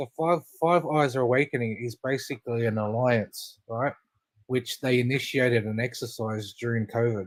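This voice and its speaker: With an Australian accent, the man talks at a medium pitch. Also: ordinary pitch variation, moderate pace. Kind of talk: casual chat.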